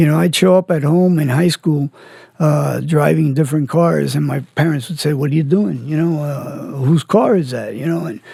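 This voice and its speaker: A man with a plain, everyday voice, fairly high in pitch, with ordinary pitch variation at a moderate pace. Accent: American. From Miami, Florida (Cuban family). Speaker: former criminal telling his life story. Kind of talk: podcast interview testimony.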